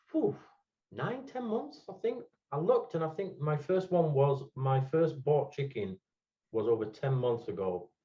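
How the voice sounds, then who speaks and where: A man with a Yorkshire accent speaks at a fairly high pitch. His somewhat breathy voice moves through very wide pitch swings. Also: fairly slow pace. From England, Hemsworth (Yorkshire). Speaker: podcast guest, NFT collector. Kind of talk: casual chat.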